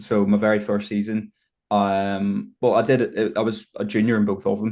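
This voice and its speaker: This man speaks at a moderate pace in a fairly low pitch, with a Northern Irish accent. His intonation is monotone and flat, and the background is quiet. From Northern Ireland, Belfast. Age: 20s. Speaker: bodybuilder. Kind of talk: podcast interview.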